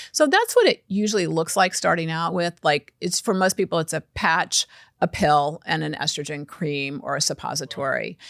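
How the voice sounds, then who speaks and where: A woman with a fairly low pitch and vocal fry speaks with ordinary pitch variation in a very clean recording with a silent background and a dry, close sound with no echo. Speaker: physician, women's health expert. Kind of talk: interview. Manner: fast; halting, with repeated restarts.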